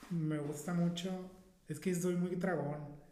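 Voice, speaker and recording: Over audible room echo, a man speaks very slowly at a fairly high pitch with fairly even intonation. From Mexico, Mazatlán (Sinaloa). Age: 30s. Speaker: travel blogger. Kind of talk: casual chat.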